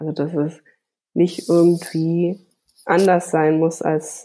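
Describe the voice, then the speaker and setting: A woman with a dark, mellow tone speaks at a very slow pace in monotone, flat intonation. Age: 30s. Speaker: graphic designer and children's art teacher. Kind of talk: interview. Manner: hesitant with fillers.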